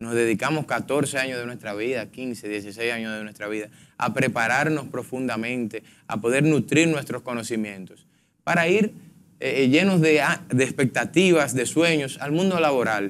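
Over light background noise, a man talks at a moderate pace and medium pitch with ordinary pitch variation. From Dominican Republic. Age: 20s. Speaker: politician, congressional pre-candidate; politician, candidate. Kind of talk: political panel debate. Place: studio. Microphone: lapel.

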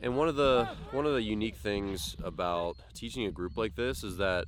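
A man at a moderate pace with lively intonation, in a dry sound with no echo and noticeable background noise. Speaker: baseball coach. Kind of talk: casual vlog chat. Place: open country. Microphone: phone near.

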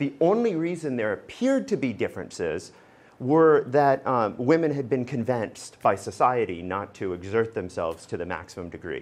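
At a moderate pace, a man speaks at a medium pitch with very wide pitch swings. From Alaska. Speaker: law professor. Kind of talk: lecture. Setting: lecture hall with audience. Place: classroom. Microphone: lapel.

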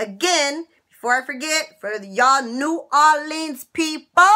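A woman projects a raised, high-pitched voice with a bright, sharp tone and an animated, lively intonation. The background is quiet. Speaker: YouTuber sharing couponing and money-saving tips. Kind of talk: casual vlog monologue to viewers. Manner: animated, chatty. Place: office. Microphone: webcam.

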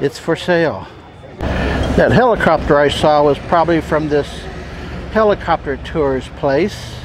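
Delivered at a very slow pace, the dry recording has no echo but noticeable background noise. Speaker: travel vlogger. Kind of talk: casual vlog chat. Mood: relaxed, amused. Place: street. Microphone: phone near.

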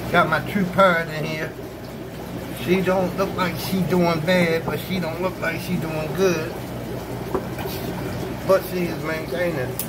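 A man's moderate-paced speech under loud background noise. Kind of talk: casual vlog chat. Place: home room. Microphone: phone near.

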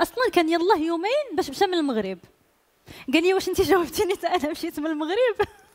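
Against a quiet background, a woman's extremely high voice moves with lively intonation. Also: fairly quick pace. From Morocco. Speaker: singer; guest. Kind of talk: casual chat. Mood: warm, storytelling. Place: studio. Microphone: headset.

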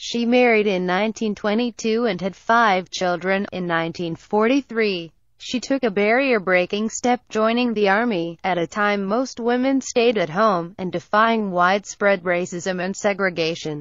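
In a quiet background, a woman speaks in a normal speaking voice at a medium pitch with ordinary pitch variation. She keeps a moderate pace with hardly any pauses. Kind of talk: news article narration.

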